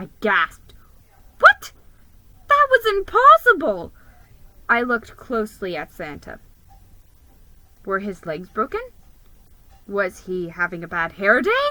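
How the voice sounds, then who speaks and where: In a squeaky, put-on character voice that sounds female, the speaker talks at a fairly slow pace and a fairly high pitch, with long, frequent pauses. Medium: read story. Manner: nervous, squeaky.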